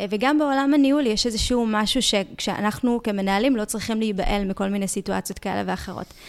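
In an unremarkable speaking voice, a woman talks at a fairly quick pace with a fairly high pitch, ordinary pitch variation and hardly any pauses. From Israel, Ashkelon. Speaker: podcast host. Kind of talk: interview.

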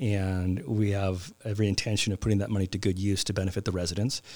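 A man with a Californian accent is heard on a very clean recording with a silent background. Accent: Californian American English. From Southern California, Glendale near Los Angeles. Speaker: city council member and lawyer. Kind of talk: interview.

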